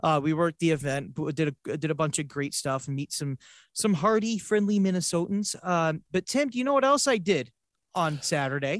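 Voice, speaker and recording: This man has an ordinary speaking voice with an American accent, a fairly high pitch, lively intonation and a moderate pace, recorded with a dry, close sound with no echo over a quiet background. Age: 20s. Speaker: podcast host and motorsports announcer. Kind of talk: casual chat.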